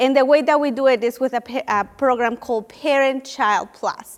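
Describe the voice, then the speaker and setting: A woman with a high voice and a Spanish accent speaks at a fairly slow pace. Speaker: nonprofit education program leader. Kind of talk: panel briefing talk. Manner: some hesitations and restarts.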